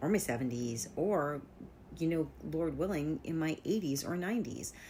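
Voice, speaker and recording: A woman speaks with vocal fry and lively intonation. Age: 50s. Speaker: vlogger. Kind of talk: casual monologue. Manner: conversational with fillers.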